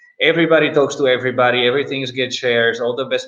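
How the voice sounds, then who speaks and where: Talking at a very fast pace, a man with a medium pitch keeps his intonation fairly even. He speaks with a Czech accent. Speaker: startup investor. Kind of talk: panel discussion. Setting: live-streamed virtual event. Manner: hesitant, many fillers.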